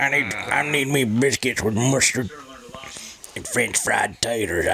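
A gravelly, put-on character voice moves at a fairly slow pace over clear background noise. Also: man, medium pitch for a man. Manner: slow drawl.

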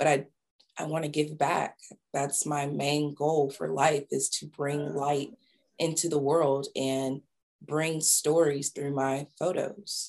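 With a Southern US accent, a woman speaks very slowly in a very deep, low pitch and a monotone, flat intonation. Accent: Southern US (Georgia). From US South, small-town Georgia. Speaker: photographer and creative director. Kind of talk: interview, personal storytelling.

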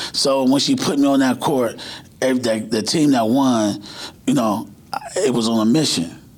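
A man speaks at a medium pitch and a fairly slow pace, with ordinary pitch variation and very even loudness, leaving long, frequent pauses. Audible room echo and noticeable background noise fill the recording. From Cleveland, Ohio. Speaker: high school basketball coach. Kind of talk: casual chat.

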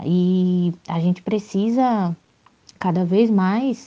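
A dark, mellow female voice against a quiet background. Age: 20s. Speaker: activist. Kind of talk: recorded testimony.

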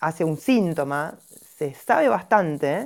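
A woman with a normal speaking voice uses lively intonation at a fairly low pitch. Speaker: gynecologist and homeopath. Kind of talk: explanatory talk in a live audio chat room. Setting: online audio chat room.

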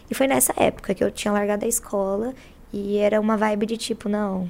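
Her pitch fairly high and her intonation fairly even, a woman talks at a fairly quick pace. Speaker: rapper, battle MC. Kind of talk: casual chat. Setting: studio.

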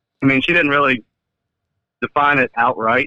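A man's medium pitch holds as he talks at a fairly slow pace. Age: 30s. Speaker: caller. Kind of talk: casual chat. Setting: phone call.

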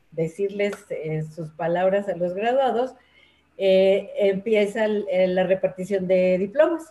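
Speaking at a very slow pace, a woman with a Mexico City accent uses a medium pitch and ordinary pitch variation. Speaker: teacher and workshop leader for older adults. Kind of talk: interview conversation. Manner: hesitant, many fillers.

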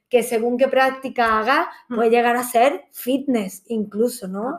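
A woman with a fairly high pitch speaks in a normal speaking voice at a fairly slow pace with ordinary pitch variation. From Granada, Andalusia, Spain. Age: 30s. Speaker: yoga teacher and hotel entertainment manager. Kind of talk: casual chat.

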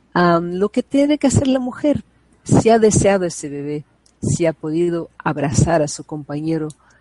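A woman's dark, mellow voice at a fairly low pitch, with very wide pitch swings, a moderate pace and a dry, close sound with no echo. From Brazil. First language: Portuguese (speaking Spanish). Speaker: psychologist and prenatal education advocate. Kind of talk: interview conversation. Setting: video call.

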